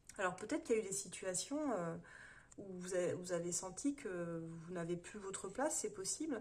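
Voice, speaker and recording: A woman of medium pitch speaks in a somewhat breathy voice. Her intonation is lively. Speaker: tarot reader. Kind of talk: tarot reading monologue. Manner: fast; hesitant, many fillers.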